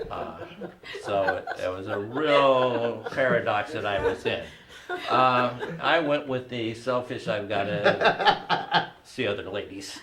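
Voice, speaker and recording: A man at a medium pitch, very slow in pace with ordinary pitch variation, amid noticeable background noise and audible room echo. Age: 50s. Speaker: comedy show host. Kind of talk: personal storytelling on a comedy panel.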